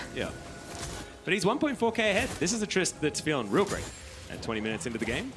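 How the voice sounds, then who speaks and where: A man with an Australian accent, high-pitched, talking very fast with very wide pitch swings and long, frequent pauses, music playing behind him. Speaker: esports commentator. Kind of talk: live commentary.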